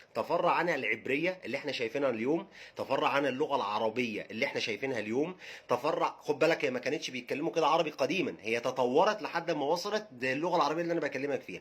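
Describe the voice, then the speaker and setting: Rushing at a very fast pace with hardly any pauses, a man with an Egyptian accent uses lively intonation. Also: fairly high pitch for a man. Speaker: religious history educator. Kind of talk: casual educational talk. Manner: halting, with repetitions.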